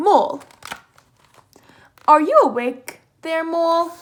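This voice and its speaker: A woman speaks in a put-on character voice with an extremely high pitch. Her pace is fairly slow. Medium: read story. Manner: slow, drowsy, kind.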